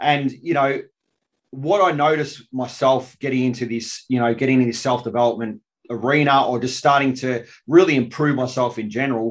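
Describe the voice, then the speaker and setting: The speaker has an Australian accent. Delivery is at a moderate pace with fairly even intonation. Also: man, medium pitch for a man. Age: 40s. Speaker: podcast host, army veteran. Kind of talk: casual interview.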